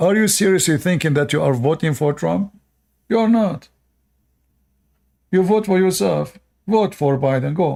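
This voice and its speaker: A man with a non-native accent and fairly high pitch speaks at a moderate pace in a dark, mellow tone, with lively intonation and very even loudness, on a very clean recording with a silent background. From Middle East. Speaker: live streamer. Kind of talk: live stream commentary. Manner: hesitant, many fillers.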